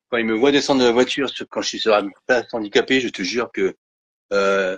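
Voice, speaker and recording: A man speaks at a fairly quick pace in a medium-pitched voice. His intonation is fairly even, and the sound is dry and close with no echo. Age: 50s. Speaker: Parkinson's patient sharing his story. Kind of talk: testimony. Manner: hesitant, many fillers and repetitions.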